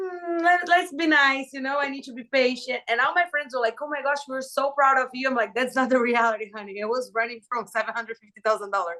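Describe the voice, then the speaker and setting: A woman's high, bright, sharp voice, raised and projected, with a Brazilian Portuguese accent, lively intonation and a fairly quick pace. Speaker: reality TV contestant. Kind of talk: podcast interview. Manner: animated.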